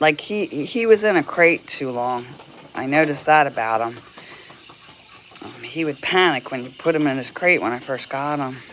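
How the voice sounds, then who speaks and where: A woman's very deep, low voice with lively intonation and big swings in loudness, at a moderate pace with long, frequent pauses against noticeable background noise. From Tennessee. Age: 60s. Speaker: dog owner livestreamer. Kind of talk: casual livestream chat. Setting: livestream. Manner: halting, many repeated words.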